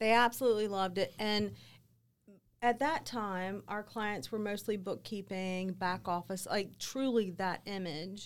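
A woman, a normal speaking voice, talks at a fairly slow pace and medium pitch. Her pitch varies in an ordinary way, and the recording is very clean with a silent background. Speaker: business owner. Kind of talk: casual interview chat.

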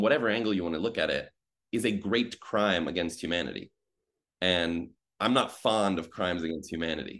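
A man with an American accent and an unremarkable speaking voice, fairly quick pace, ordinary pitch variation, on a very clean recording with a silent background. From US Midwest. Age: 30s. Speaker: journalist. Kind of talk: casual chat.

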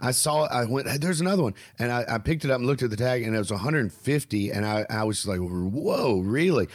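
Talking at a very fast pace with a Southern US accent, a man uses a medium pitch and lively intonation. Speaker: stand-up comedian and podcast host. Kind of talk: casual chat. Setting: video call.

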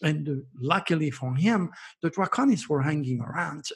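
This man's voice is fairly high in pitch and somewhat breathy. He goes at a moderate pace in a very clean recording with a silent background. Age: 70s. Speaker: astrologer. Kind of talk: interview.

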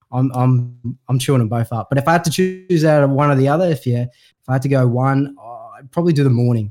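Speaking at a very fast pace in an Australian accent, a man with a dark, mellow tone swings widely in loudness, the sound dry and close with no echo. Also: medium pitch for a man, ordinary pitch variation, hardly any pauses. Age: 30s. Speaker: podcast host. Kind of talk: casual chat.

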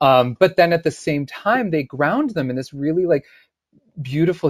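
A man speaks with an American accent at a fairly high pitch. His pace is moderate. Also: dry, close sound with no echo, very clean recording, silent background. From US, Syracuse, New York. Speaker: actor. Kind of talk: casual interview chat.

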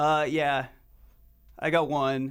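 With a fairly high pitch, a man speaks in a monotone, flat intonation. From Utah, Salt Lake City. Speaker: indie-pop musician, band frontman. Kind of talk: casual interview. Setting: radio studio.

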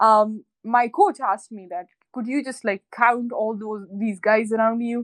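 A woman speaks at a moderate pace in a fairly high pitch with monotone, flat intonation. The sound is dry and close with no echo against a quiet background. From northwestern Pakistan, Khyber region. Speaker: professional squash player and activist. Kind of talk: interview.

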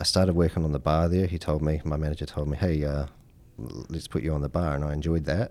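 Speaking fairly quickly with a New Zealand accent, a man has a very deep, low pitch, a dark, mellow tone and fairly even intonation. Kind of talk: casual interview chat.

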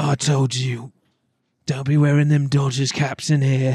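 A put-on character voice from a man, medium in pitch, in a British accent with monotone, flat intonation. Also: moderate pace. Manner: tough, warning.

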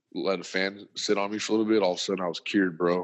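A man talks at a fast pace in a low voice with little pitch movement.

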